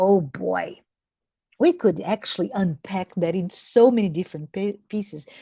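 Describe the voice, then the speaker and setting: Vocal fry runs through a woman's medium-pitched voice, which varies in pitch in an ordinary way. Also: moderate pace. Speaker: discussion group leader. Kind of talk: spiritual book discussion. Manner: halting, repetitive.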